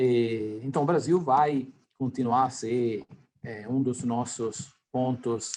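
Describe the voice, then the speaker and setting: An Italian accent marks this man's speech. He talks at a very slow pace in a medium pitch. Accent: non-native Portuguese, Italian-tinged. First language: Italian (speaking Portuguese). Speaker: company executive. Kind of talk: interview. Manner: halting, many fillers.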